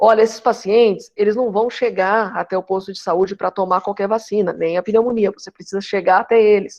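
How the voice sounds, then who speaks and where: A woman at a medium pitch with monotone, flat intonation and a fairly quick pace. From Brazil, interior of São Paulo state. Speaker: geriatrics professor. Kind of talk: lecture. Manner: fast.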